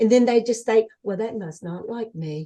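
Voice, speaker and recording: Using a dark, mellow tone, a woman talks at a fairly slow pace with ordinary pitch variation. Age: 70s. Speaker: near-death experiencer, former social worker. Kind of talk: interview.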